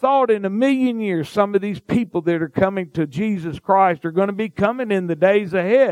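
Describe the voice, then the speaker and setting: With a Mississippi accent, a man speaks at a moderate pace. The sound is dry and close, with no echo. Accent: Southern US (Mississippi). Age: 50s. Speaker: pastor. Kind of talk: sermon.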